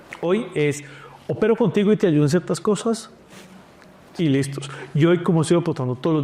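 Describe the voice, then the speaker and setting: Very fast speech from a man with a fairly high pitch and lively intonation. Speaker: food company founder. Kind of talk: interview.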